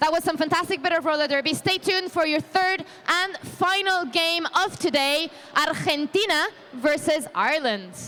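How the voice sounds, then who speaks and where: A woman speaks in a raised, projected voice with an animated tone, extremely high pitch, ordinary pitch variation and very even loudness. She keeps a moderate pace over noticeable background noise. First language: not English. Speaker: roller derby commentator. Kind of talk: live sports commentary.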